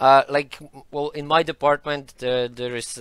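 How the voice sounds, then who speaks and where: Against a quiet background, a man talks with fairly even intonation in a dry sound with no echo. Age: 30s. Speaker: economics lecturer. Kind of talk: interview. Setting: studio with online audience. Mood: relaxed, friendly. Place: studio. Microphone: headset.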